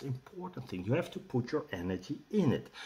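A man with a Dutch accent speaks at a fairly high pitch, his voice somewhat breathy and swinging very widely in pitch. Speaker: rune teacher and shaman. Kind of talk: tutorial with guided meditation. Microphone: webcam.

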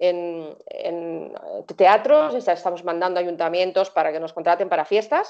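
Over a quiet background, a woman talks at a fairly slow pace with ordinary pitch variation. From Spain, Barcelona; Catalonia, Spain. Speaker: singer; interviewee. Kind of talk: interview. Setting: video call. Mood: calm, warm. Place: home room. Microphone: video call.

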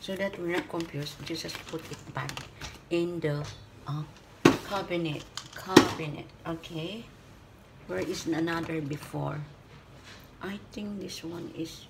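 With loud noise in the background, a woman talks fairly slowly, leaving long, frequent pauses. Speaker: home vlogger. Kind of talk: casual vlog chat. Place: kitchen. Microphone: phone near.

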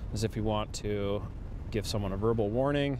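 Over noticeable background noise, a man with fairly low pitch speaks at a moderate pace in a dry sound with no echo. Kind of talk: explanatory interview answer. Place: car.

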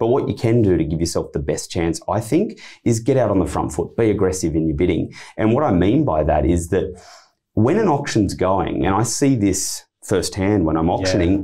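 A man with a fairly low pitch and a dark, mellow, somewhat breathy tone speaks at a moderate pace with lively intonation against a quiet background. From Australia. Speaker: auctioneer and real estate director. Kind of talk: interview answer, explaining auction tips. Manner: conversational, confident. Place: studio. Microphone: studio mic.

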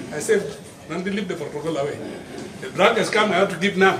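With ordinary pitch variation, the man rushes along at a very fast pace amid noticeable background noise. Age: 60s. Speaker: executive director of an HIV support network; interviewee. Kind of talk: interview answer. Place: hall. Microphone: handheld.

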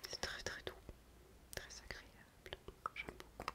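A woman's soft-spoken whispering at a very slow pace. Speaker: beauty vlogger. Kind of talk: casual product review chat. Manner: soft ASMR whisper. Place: bathroom. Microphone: webcam.

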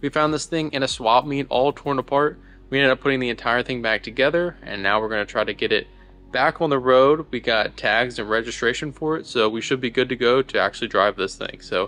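A man's bright, sharp voice at a fairly quick pace with ordinary pitch variation. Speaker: car restoration vlogger. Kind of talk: casual vlog chat. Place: garage. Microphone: phone near.

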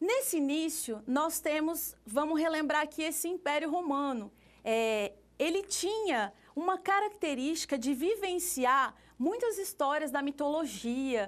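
Talking at a fairly slow pace, a high-pitched woman uses lively intonation. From Brazil. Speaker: art teacher. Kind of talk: lecture. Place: classroom.

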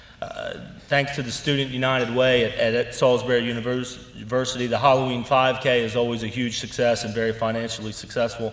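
In a room with audible echo, a man talks at a fairly quick pace with hardly any pauses and monotone, flat intonation. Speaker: organization leader giving annual report. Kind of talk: formal speech. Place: hall. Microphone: podium.

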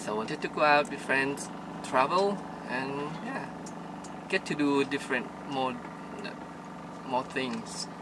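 A man's slow, lively-intoned speech with long, frequent pauses, over clear background noise. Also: medium pitch for a man.

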